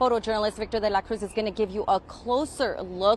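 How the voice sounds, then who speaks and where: A woman with a plain, everyday voice speaks at a fairly high pitch with fairly even intonation. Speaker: television news reporter. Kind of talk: TV news field reporting, live stand-up. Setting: outdoors, on location.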